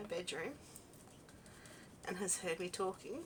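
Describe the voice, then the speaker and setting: Someone speaks at a moderate pace with an Australian accent. Noticeable background noise runs underneath. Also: woman. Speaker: craft video host. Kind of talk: casual crafting chat. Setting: home craft room. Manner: relaxed, conversational.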